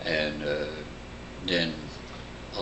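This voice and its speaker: A man with a Midwestern American accent speaks over noticeable background noise. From Bloomington, Indiana area. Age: 80s+. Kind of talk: family oral history interview answer. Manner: slow, conversational, hesitant.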